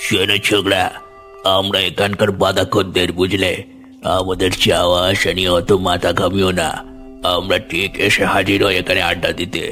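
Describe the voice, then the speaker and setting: A man speaks in a cartoonish character voice with a very deep, low pitch. He goes at a fairly slow pace while clear music plays in the background. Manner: confiding, chuckling.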